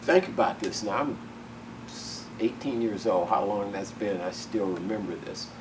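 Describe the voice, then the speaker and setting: A man with a Southern US accent and medium pitch speaks fairly slowly, with audible room echo and noticeable background noise. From US South. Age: 70s. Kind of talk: oral history interview. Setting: museum. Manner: animated.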